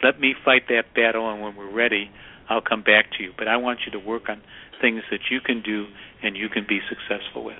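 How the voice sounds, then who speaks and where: With an American accent, a man talks at a fairly quick pace in a fairly low pitch and a monotone, flat intonation. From Chicago. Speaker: author and workplace consultant. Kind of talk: radio interview.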